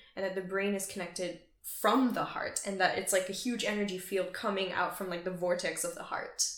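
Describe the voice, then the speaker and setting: Over noticeable background noise, a woman at a medium pitch speaks at a fairly quick pace with fairly even intonation. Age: 20s. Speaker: podcast host. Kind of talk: casual podcast interview.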